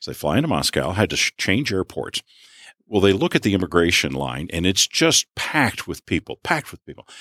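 Lively intonation and vocal fry mark this moderate-paced speech. The recording is very clean with a silent background, dry and close with no echo. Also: man. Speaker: entrepreneur. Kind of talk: casual interview. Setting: radio studio.

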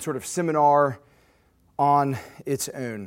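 A man's fairly high-pitched voice comes through on a very clean recording with a silent background. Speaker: guest preacher. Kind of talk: sermon. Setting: church.

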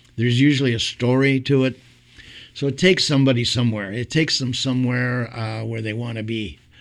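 At a moderate pace, a man speaks in a Montreal accent. His pitch is medium, with ordinary variation. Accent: Canadian English (Montreal). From Montreal, Quebec. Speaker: singer and entertainer. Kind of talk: casual interview.

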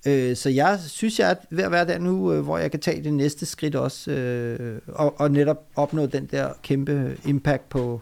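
Very slow, lively speech from a man at a medium pitch. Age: 40s. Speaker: doctor, author and public speaker. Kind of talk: interview conversation. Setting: guest's private home.

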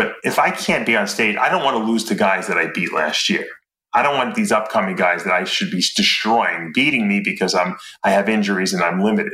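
The speaker moves at a fairly quick pace. Audible room echo surrounds the voice. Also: man. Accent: New York. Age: 50s. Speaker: former bodybuilder and supplement company owner. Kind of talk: casual interview.

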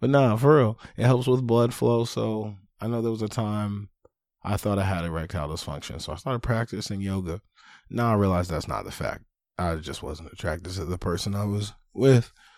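In a very clean recording with a silent background, a man with a normal speaking voice talks fairly quickly at a fairly low pitch. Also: lively intonation. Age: 30s. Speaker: podcast host. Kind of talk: casual monologue.

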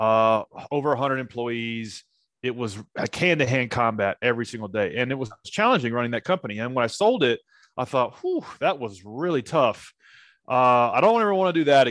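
An ordinary speaking voice from a man with an American accent, medium pitch, lively intonation and a moderate pace, in a dry, close sound with no echo and a quiet background. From US South, Nashville, Tennessee. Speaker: startup founder and CEO. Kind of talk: interview.

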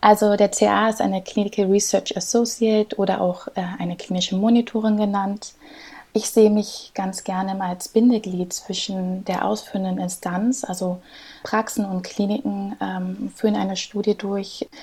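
Monotone, flat intonation from a woman at a medium pitch. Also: moderate pace. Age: 30s. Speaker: clinical research associate. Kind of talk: interview.

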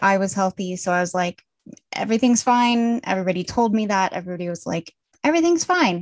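In a normal speaking voice, a woman with an American accent talks at a medium pitch with ordinary pitch variation against a quiet background. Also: dry, close sound with no echo. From Colorado, US. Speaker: author and book editor. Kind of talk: interview.

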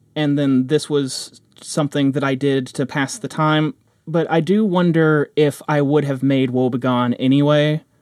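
Here is an unremarkable speaking voice from a man, fairly high in pitch and at a moderate pace. The recording is very clean with a silent background and a dry, close sound with no echo. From Kentucky, US. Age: 30s. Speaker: audio drama creator and composer. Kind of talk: casual podcast talk.

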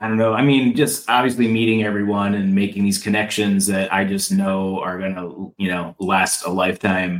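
Using a plain, everyday voice, a man speaks at a moderate pace with hardly any pauses, a fairly low pitch and fairly even intonation. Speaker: mushroom enthusiast. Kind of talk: casual chat.

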